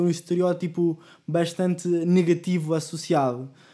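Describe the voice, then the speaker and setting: In a very clean recording with a silent background, a man speaks with a high pitch, a dark, mellow tone and fairly even intonation. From Mexico City. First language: Spanish (speaking Portuguese). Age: 20s. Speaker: postgraduate student. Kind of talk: casual chat.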